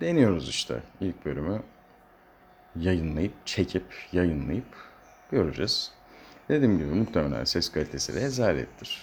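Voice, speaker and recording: A man's very deep, low voice with vocal fry and very wide pitch swings, at a fairly slow pace with long, frequent pauses. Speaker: solo podcaster. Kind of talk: casual solo monologue. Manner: rambling, hesitant with fillers. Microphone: poor sound quality, no proper equipment.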